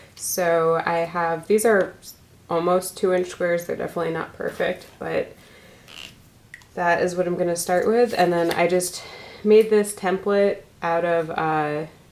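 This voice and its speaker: A woman speaks at a fairly slow pace in a fairly low pitch, with long, frequent pauses. Her intonation is monotone and flat, and noticeable background noise is present. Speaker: glass artist. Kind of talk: tutorial. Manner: casual with fillers.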